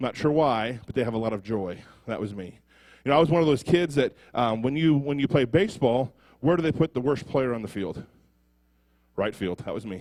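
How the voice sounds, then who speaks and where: A man at a medium pitch and a fairly quick pace, with long, frequent pauses. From US Midwest, Ottumwa, Iowa. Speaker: prison ministry speaker. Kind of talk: testimony. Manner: halting.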